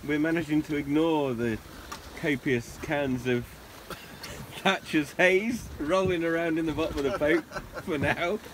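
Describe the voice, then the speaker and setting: With ordinary pitch variation and long, frequent pauses, a man talks at a fairly slow pace in a dry sound with no echo, over noticeable background noise. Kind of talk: casual vlog chat. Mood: cheerful, joking. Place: boat. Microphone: phone near.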